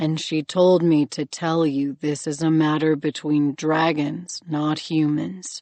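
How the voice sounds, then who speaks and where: A woman in a put-on character voice speaks at a fairly slow pace with a very deep, low pitch. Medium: read story.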